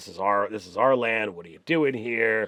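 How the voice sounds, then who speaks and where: Putting on a character voice, a man speaks at a moderate pace and medium pitch, croaky and raspy throughout. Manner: intimidating, territorial.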